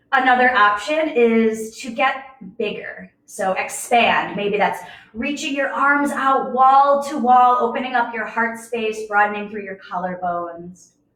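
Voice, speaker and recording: A woman speaks at a fairly slow pace in a high voice. Her loudness swings widely, and there is audible room echo. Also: ordinary pitch variation. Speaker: yoga teacher. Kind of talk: guided yoga class.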